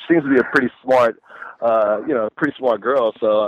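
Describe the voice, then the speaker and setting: Speaking with an American accent at a fairly quick pace, a man has a medium pitch and an ordinary speaking voice. The sound is dry and close, with no echo. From Texas. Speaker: caller. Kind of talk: call-in radio chat.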